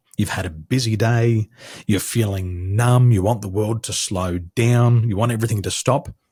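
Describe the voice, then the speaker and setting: A man's dark, mellow, somewhat breathy voice with an American accent, medium pitch and ordinary pitch variation, at a moderate pace, in a very clean recording with a silent background. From Australia. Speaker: business coach. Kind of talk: podcast interview. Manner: measured, easy to listen to.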